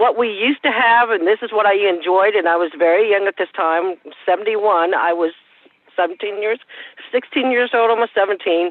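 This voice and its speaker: This woman has a normal speaking voice with an American accent. Her pitch is medium and her pace moderate. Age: 60s. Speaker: advisory board member. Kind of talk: public meeting discussion.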